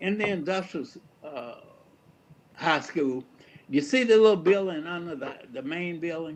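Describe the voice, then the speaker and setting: A man with an Alabama accent speaks at a moderate pace in a high pitch, with ordinary pitch variation, long and frequent pauses, and noticeable background noise. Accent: Southern American (Alabama). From Fairfield, Alabama. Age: 80s+. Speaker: retired reverend and educator. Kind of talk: community talk on personal history.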